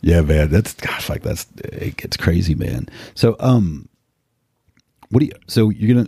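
His voice very deep and low with a dark, mellow tone, a man talks at a fairly slow pace with lively intonation. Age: 50s. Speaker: podcast host, law enforcement officer. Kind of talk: casual interview chat; read-out sponsor ad.

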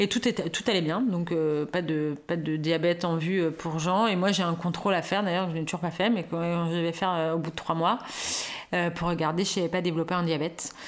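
Her voice is fairly low for a woman, with fairly even intonation. She speaks at a fairly quick pace. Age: 40s. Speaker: new mother. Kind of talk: interview. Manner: halting.

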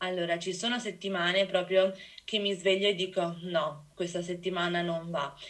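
A woman speaks at a moderate pace and medium pitch with a monotone, flat intonation, and noticeable background noise sits behind her. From Venice area, Italy. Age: 20s. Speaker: biology student. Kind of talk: casual interview.

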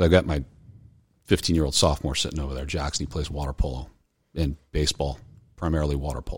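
A man's very deep, low voice with an American accent and vocal fry, very fast yet with long, frequent pauses, flat and monotone. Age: 40s. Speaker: college baseball coach. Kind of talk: casual chat.

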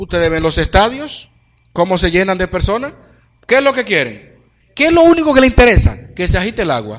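A man talks at a fairly quick pace in a high pitch. His pitch swings very widely. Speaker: preacher. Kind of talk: sermon.

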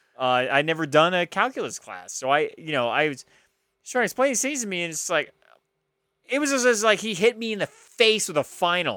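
On a very clean recording with a silent background, a man with a high pitch and a bright, sharp tone speaks in a raised, projected voice at a fairly quick pace, with very wide pitch swings. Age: 30s. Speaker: podcast co-host. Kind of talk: casual chat.

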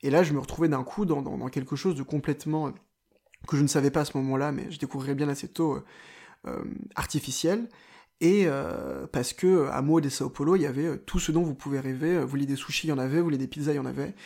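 The voice has a dark, mellow tone and moves at a very fast pace, broken by long, frequent pauses. The recording is very clean, with a silent background. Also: man, fairly high pitch for a man, fairly even intonation. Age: 20s. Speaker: journalist. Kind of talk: personal travel storytelling. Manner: hesitant, with fillers.

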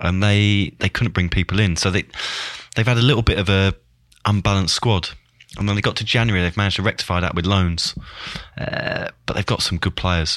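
A man with an English accent talks at a fairly quick pace, pitched fairly low and with fairly even intonation. Long, frequent pauses and noticeable background noise come through. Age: 30s. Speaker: former professional footballer. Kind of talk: casual chat.

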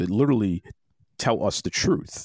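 In a very clean recording with a silent background and a dry, close sound with no echo, a man speaks fairly quickly with very wide pitch swings. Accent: Boston. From US Northeast, Boston. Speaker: podcast host. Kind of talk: interview conversation.

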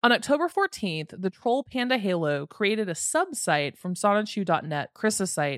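Woman at a medium pitch with very wide pitch swings, a moderate pace and hardly any pauses, dry and close with no echo on a very clean recording with a silent background. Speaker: podcast host. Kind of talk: true crime storytelling narration.

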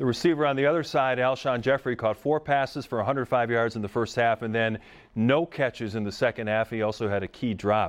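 Very fast speech from a man at a medium pitch, with ordinary pitch variation. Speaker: sports reporter, interviewer. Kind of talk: sports interview.

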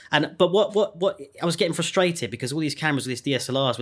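Talking very fast, a man uses a fairly high pitch. He has a southern English accent. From England, Surrey. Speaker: podcast host and composer. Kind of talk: casual interview chat.

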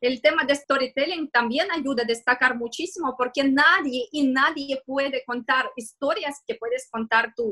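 A woman with a high pitch speaks in a raised, projected voice at a fairly slow pace, with hardly any pauses and ordinary pitch variation. Her tone is bright and sharp, and the sound is dry and close with no echo. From Russia, Moscow. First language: Russian (speaking Spanish). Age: 30s. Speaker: digital marketing consultant. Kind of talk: interview. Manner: halting.

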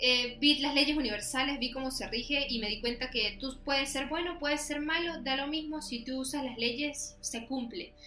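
A woman with a high pitch uses a raised, projected voice at a moderate pace, with hardly any pauses and fairly even intonation. The recording carries audible room echo and noticeable background noise. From Venezuela. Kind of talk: casual chat.

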